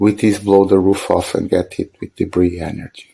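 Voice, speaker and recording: A man's fairly low, dark and mellow voice with a Portuguese accent and monotone, flat intonation. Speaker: film video essayist. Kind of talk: scripted narration.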